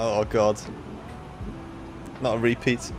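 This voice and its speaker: Flat, monotone delivery from a man with a Liverpool accent and a medium pitch. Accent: Liverpool (Scouse). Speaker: flight sim streamer. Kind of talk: casual chat. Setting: livestream.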